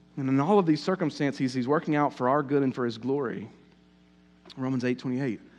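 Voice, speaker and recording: A man with a Southern US accent speaks at a fairly quick pace in a fairly high pitch, against a quiet background. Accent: southern US, noticeable. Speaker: pastor. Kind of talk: sermon. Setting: church. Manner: hesitant, filler-heavy.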